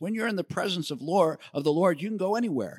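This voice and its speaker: Recorded very cleanly over a silent background, with a dry, close sound and no echo, a man with an American accent speaks in a bright, sharp tone with lively intonation. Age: 60s. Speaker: ministry leader, speaker. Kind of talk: sermon-style teaching. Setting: synagogue, in front of congregation.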